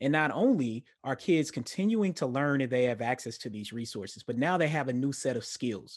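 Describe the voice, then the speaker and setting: A man with an unremarkable speaking voice, medium pitch, lively intonation, a fairly quick pace and hardly any pauses, against a quiet background. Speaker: academic researcher.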